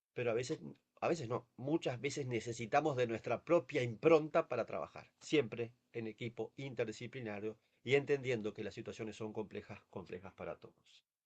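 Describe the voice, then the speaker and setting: A man's medium-pitched voice with ordinary pitch variation and big swings in loudness, in a dry, close sound with no echo. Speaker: palliative care physician. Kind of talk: webinar lecture. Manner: fast. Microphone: no microphone, too quiet.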